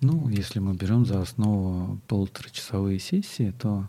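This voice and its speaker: A man speaks with a fairly low pitch and ordinary pitch variation. His tone is dark and mellow. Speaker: body-oriented psychotherapist. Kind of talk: interview conversation.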